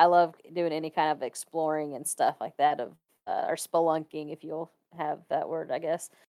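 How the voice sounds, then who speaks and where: In a Kentucky accent, the speaker goes at a moderate pace, the sound dry and close with no echo. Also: woman, very clean recording, silent background. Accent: US Southern (Kentucky). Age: 20s. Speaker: photographer. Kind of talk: casual chat.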